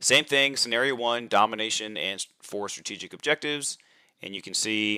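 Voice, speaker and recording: A man speaks at a medium pitch, with a bright, sharp tone and normal pitch movement. His loudness swings widely, and the sound is dry and close with no echo. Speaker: tabletop wargaming channel host and tournament organizer. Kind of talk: livestream rules walkthrough. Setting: live stream. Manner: fast.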